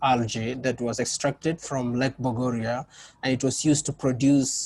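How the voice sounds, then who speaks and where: Recorded with a dry, close sound and no echo, a man with a non-native accent speaks at a moderate pace and medium pitch in a monotone, flat intonation. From Kenya. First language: not English. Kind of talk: panel discussion. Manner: halting, many fillers and restarts.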